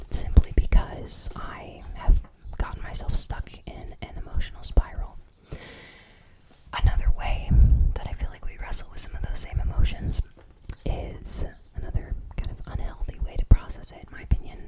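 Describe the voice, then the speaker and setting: Whispered speech moves at a moderate pace, broken by long, frequent pauses. Noticeable background noise runs underneath. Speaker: ASMR creator. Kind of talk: ASMR whispered ramble.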